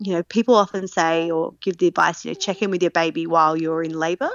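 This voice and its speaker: A woman with an Australian accent. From South Australia, Adelaide. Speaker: mother sharing birth story. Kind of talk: interview.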